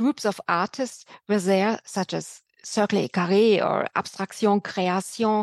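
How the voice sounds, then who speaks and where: A woman with a plain, everyday voice, medium-pitched and fairly even in intonation, dry and close with no echo, against a quiet background. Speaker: museum curator. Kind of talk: interview.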